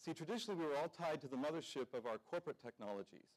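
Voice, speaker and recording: The background is quiet as a man talks. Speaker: conference presenter. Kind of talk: keynote presentation. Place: hall.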